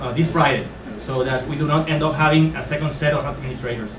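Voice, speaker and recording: With a Spanish accent and a fairly high pitch, a man speaks in a fairly even intonation, with audible room echo and noticeable background noise. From Puerto Rico. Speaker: high school physics teacher and union activist. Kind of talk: speech read from a prepared text. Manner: halting, with frequent hesitations.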